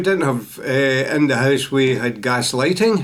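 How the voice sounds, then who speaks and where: A man with a Glaswegian accent speaks over noticeable background noise. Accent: Glaswegian Scottish. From Scotland, Glasgow south side. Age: 80s+. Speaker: storyteller sharing life memories. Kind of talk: personal life story. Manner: halting, with many fillers.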